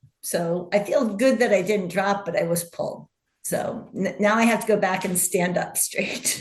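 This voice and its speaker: A woman with an unremarkable speaking voice talks at a medium pitch and a moderate pace, her intonation fairly even. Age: 60s. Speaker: ultrarunner. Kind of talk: casual chat.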